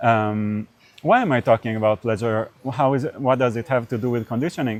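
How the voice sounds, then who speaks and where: A man with an Israeli accent speaks at a fairly quick pace. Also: medium pitch for a man, fairly even intonation. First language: Hebrew. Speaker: podcast interviewer. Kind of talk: casual interview conversation. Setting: on camera. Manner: halting, many fillers.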